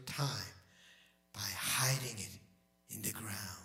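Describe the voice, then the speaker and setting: The delivery is very slow. It comes from a man. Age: 60s. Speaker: pastor. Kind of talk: sermon. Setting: church. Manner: halting.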